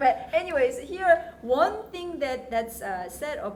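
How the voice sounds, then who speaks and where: Amid audible room echo and noticeable background noise, a woman speaks very slowly with very wide pitch swings. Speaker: university teacher leading student discussion. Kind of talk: seminar discussion. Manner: halting, many fillers.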